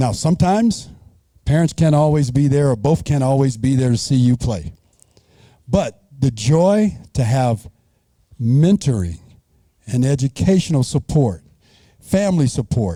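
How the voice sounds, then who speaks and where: A somewhat breathy, dark and mellow male voice at medium pitch with an American accent, very even in loudness but with very wide pitch swings, a fairly slow pace and long, frequent pauses. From Arizona. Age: 60s. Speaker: banquet keynote speaker. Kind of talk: motivational speech.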